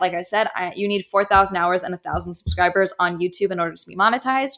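Her words come at a very fast pace. This woman's voice is medium in pitch. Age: 20s. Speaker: podcast host. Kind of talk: casual chat. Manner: animated.

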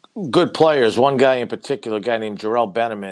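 With a Boston accent, a man talks at a very fast pace. His intonation stays fairly even over a quiet background. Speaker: college basketball head coach. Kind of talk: casual interview.

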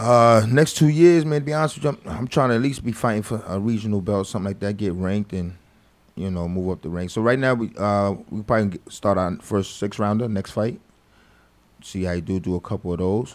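A normal speaking voice: a man at a fairly low pitch and fairly quick pace with lively intonation, on a very clean recording with a silent background. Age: 40s. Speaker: boxing trainer. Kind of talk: interview. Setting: studio.

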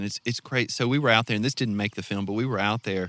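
Recorded dry and close with no echo, a man with a fairly low voice and a Southern US accent speaks in a bright, sharp tone with fairly even intonation. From North Mississippi. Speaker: filmmaker and fly fisherman. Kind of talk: casual interview chat. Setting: outdoors.

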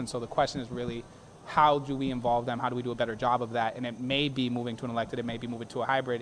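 With an American accent, a man speaks at a very fast pace. His medium-pitched voice stays monotone and flat. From Boston, Hyde Park. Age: 30s. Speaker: attorney and city council candidate. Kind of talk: interview. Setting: live broadcast from a brewery.

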